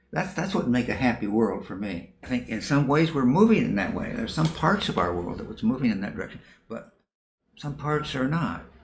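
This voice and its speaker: A man talks at a fairly quick pace with a medium pitch and vocal fry. His pitch swings very wide, and audible room echo surrounds him. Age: 80s+. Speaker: professor. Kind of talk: interview. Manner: halting.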